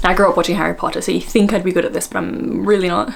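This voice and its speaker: The speech comes at a very fast pace. Noticeable background noise runs underneath it. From Australia. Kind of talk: casual, self-deprecating chat.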